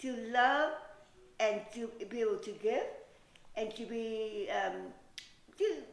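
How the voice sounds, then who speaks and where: A woman's voice swings very widely in pitch, with audible room echo. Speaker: beauty pageant winner. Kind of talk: interview.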